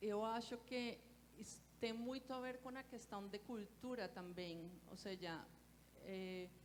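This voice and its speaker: A woman with a Colombian accent speaks at a very slow pace with a fairly high pitch. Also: ordinary pitch variation. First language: Spanish (speaking Portuguese). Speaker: architect. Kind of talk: panel discussion.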